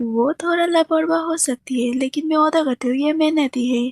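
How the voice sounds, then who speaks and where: This is a put-on character voice. The sound is dry and close, with no echo. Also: woman, high pitch for a woman, moderate pace. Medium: fan dub. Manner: gentle, warm.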